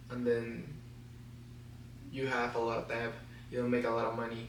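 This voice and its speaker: A man speaks with a non-native accent, his voice carrying audible room echo over noticeable background noise. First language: Spanish. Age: 20s. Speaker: vlogger. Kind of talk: personal vlog to camera. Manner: halting, stutters.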